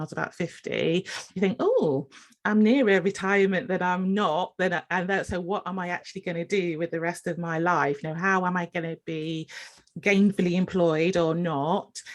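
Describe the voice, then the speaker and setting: Fairly low in pitch, a woman with an English accent speaks at a fairly quick pace with fairly even intonation. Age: 50s. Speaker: podcast host and nurse. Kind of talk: casual interview chat.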